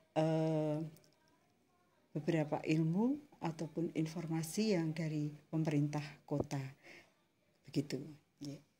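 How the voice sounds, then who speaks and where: A woman with a very deep, low, dark and mellow voice speaks at a fairly slow pace in fairly even intonation, pausing long and often. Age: 60s. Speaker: community waste bank leader. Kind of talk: interview.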